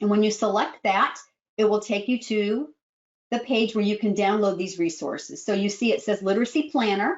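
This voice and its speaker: This woman has an American accent. Her voice sits at a fairly high pitch. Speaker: speech-language pathologist and trainer. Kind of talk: webinar presentation. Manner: fast.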